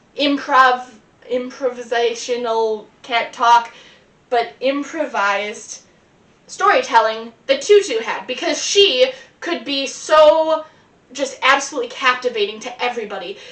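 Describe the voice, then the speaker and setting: A woman speaks with an American accent at a fairly slow pace, her high pitch showing ordinary variation. Noticeable background noise is present. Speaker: performer. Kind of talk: improvised storytelling monologue. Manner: rambling, hesitant fillers.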